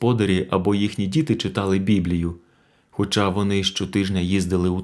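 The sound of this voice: The text comes in an unforced reading voice. It is spoken as a reading.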